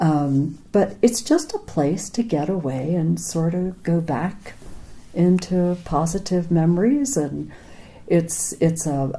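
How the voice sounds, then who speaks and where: In an American accent, a somewhat breathy, dark and mellow voice moves at a very slow pace with lively intonation. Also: woman, fairly low pitch for a woman. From Pennsylvania, near Philadelphia. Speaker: former ranch worker. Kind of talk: oral history interview.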